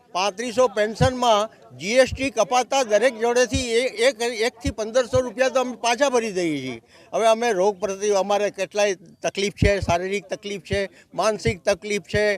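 A man with a high pitch and ordinary pitch variation speaks in a dry, close sound with no echo. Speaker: retired state transport employee. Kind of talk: protest interview statement.

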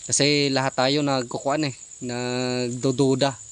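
A man speaks at a medium pitch in a monotone, flat intonation. There is noticeable background noise. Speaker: video creator. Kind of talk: casual vlog narration. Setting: outdoors at a chicken coop at night. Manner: casual.

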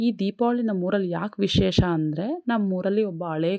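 A woman speaks with a dark, mellow tone and ordinary pitch variation. The recording is very clean, dry and close, with a silent background and no echo. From India, Karnataka. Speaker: vlogger. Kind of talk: casual vlog narration.

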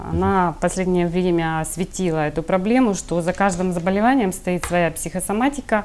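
At a fairly quick pace with hardly any pauses, a woman speaks at very even loudness and ordinary pitch variation over light background noise. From Ukraine, Kryvyi Rih; Ukraine. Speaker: healer; interview guest. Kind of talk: TV interview. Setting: studio. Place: studio. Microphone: lapel.

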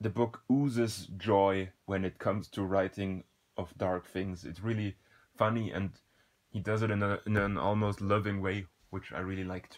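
Here a man in an unremarkable speaking voice talks at a moderate pace with a fairly low pitch and fairly even intonation. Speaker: book reviewer. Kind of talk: unscripted book review talk.

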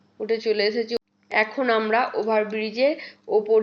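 Her fairly high pitch and fairly even intonation carry a cheerful tone as this woman speaks. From West Bengal, India (Bardhaman). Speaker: vlogger. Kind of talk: travel vlog narration. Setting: outdoors, train station and train. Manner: cheerful, chatty.

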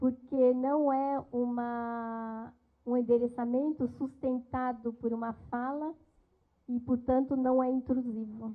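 A woman talks at a very slow pace in a high pitch. Her intonation is monotone and flat, and the background is quiet. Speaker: interpreter. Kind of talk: consecutive interpretation. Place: classroom. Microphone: handheld.

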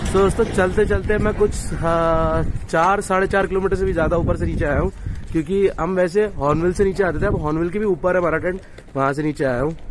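A moderate pace, fairly even intonation, dry sound with no echo, and noticeable background noise. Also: man, high pitch for a man. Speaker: travel vlogger. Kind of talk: casual vlog chat. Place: street. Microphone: phone near.

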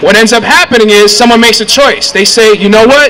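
In a raised, projected voice, a man with extremely high pitch speaks fairly quickly with ordinary pitch variation over light background noise. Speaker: community organizer. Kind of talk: rally speech. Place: street. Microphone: handheld.

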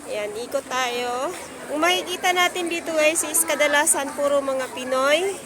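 A woman's high voice at a moderate pace with ordinary pitch variation, plus audible room echo and noticeable background noise. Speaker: vlogger. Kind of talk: walking vlog. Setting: outdoors at night market. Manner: casual, chatty.

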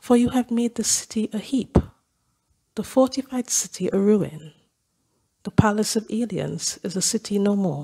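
A woman with a fairly high pitch and a dark, mellow, somewhat breathy tone speaks at a moderate pace with ordinary pitch variation and long, frequent pauses, in a dry, close sound with no echo. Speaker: lay scripture reader. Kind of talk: reading aloud. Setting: church.

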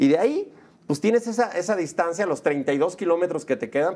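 A man speaks at a fairly quick pace with a high pitch. His tone is animated and his intonation lively. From Mexico City. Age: 40s. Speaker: film director and producer; interview guest. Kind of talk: casual interview. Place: studio. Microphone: lapel.

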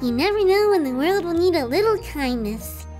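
Clear music plays behind a woman who speaks at a moderate pace in a high voice. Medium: read story. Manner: bright, earnest, eager.

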